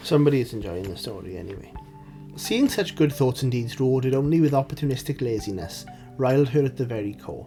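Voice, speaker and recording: Over music in the background, a man speaks very fast at a medium pitch, with lively intonation and big swings in loudness. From Wales. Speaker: indie writer. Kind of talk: story reading.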